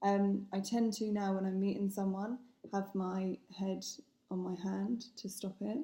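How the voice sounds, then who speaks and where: At a fairly slow pace, a woman speaks with monotone, flat intonation and a medium pitch. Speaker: vlogger with essential tremor. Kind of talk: personal vlog. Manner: hesitant, many fillers and repeats.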